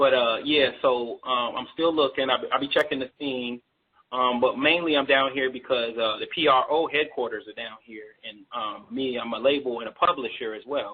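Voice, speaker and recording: This man speaks at a medium pitch. His loudness swings widely. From Baltimore, Maryland, US. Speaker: rapper and label owner. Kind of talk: radio interview. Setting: live radio broadcast. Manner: fast.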